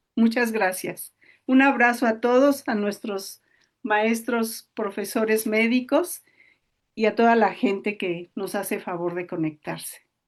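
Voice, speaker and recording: A woman's fairly high voice with ordinary pitch variation, at a very slow pace against a quiet background. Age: 70s. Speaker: patient support group host. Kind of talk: closing remarks of online talk. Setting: Facebook Live video session.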